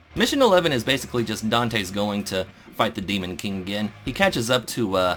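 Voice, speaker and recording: Music plays in the background. A man with a fairly low pitch and ordinary pitch variation talks at a very fast pace. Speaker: gaming podcast host. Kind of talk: casual chat.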